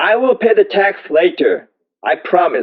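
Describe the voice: A man's high-pitched voice with big pitch swings at a fairly slow pace.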